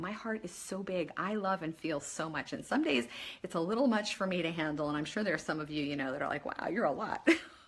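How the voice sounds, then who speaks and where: Her tone animated, a woman speaks at a fairly quick pace with very wide pitch swings. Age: 50s. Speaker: life coach. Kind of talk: motivational talk. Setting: Facebook live video.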